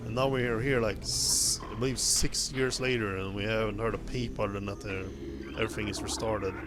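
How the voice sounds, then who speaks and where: Through noticeable background noise and audible room echo, a man with a Swedish accent speaks with a fairly low pitch and lively intonation. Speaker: gaming streamer. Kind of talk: live gameplay commentary. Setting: live stream. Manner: halting, many restarts.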